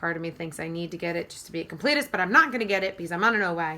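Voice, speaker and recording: A woman talks at a fairly low pitch amid noticeable background noise. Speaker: beauty YouTuber. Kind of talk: casual product review monologue. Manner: many fillers like um.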